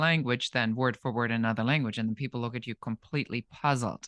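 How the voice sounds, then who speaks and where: A man with a German accent speaks at a medium pitch with fairly even intonation and a bright, sharp tone. The sound is dry and close with no echo, over a quiet background. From Germany. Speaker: podcast host. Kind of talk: interview.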